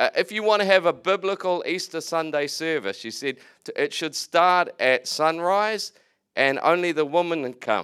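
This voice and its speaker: The recording is very clean, with a silent background. A man talks with a bright, sharp tone. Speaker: preacher. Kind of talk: sermon. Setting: church. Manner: animated, fervent.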